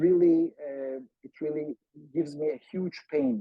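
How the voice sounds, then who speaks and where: Speaking with a Turkish accent, a man keeps a fairly high pitch and fairly even intonation. His pace is fairly slow. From Turkey. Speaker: academic researcher. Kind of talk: online seminar talk. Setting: video call. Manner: halting with many fillers.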